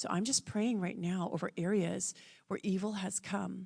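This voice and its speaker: A woman of medium pitch with vocal fry, fairly even in intonation and fairly slow in pace. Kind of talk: prayer. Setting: church.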